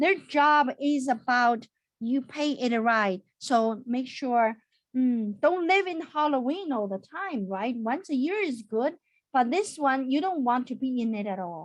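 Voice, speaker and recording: This woman's voice sits high in pitch. She talks at a fairly slow pace. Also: lively intonation. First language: not English. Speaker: accountant. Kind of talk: webinar. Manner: animated.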